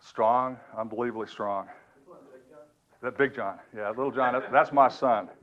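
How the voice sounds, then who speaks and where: Speaking at a moderate pace and medium pitch, a man uses fairly even intonation and long, frequent pauses. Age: 60s. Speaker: fuel system cleaning business owner. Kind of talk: seminar presentation. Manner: halting.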